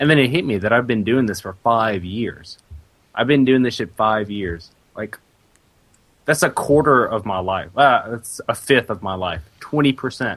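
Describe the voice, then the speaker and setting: At a moderate pace, a man with a normal speaking voice and medium pitch talks with ordinary pitch variation. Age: 20s. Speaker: games journalist. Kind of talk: casual chat. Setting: podcast recording.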